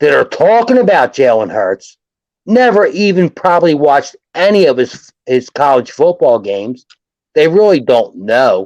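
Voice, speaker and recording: In a Philadelphia accent, a man speaks in an animated tone at a fairly high pitch. His pace is fairly slow, and his pitch swings very widely. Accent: Philadelphia-area American English. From South Jersey, US. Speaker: sports fan commentator. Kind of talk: casual sports chat on livestream. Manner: animated, repetitive restarts.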